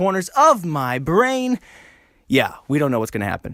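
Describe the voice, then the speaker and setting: On a very clean recording with a silent background, a man speaks with a high pitch. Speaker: comedy podcast host. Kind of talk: solo casual podcast monologue. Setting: alone in a room. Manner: fast.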